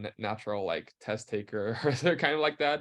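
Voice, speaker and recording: A man talks at a fairly quick pace with a non-native accent. His pitch varies in an ordinary way, and the background is quiet. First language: not English. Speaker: university student. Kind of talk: webinar Q&A. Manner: halting.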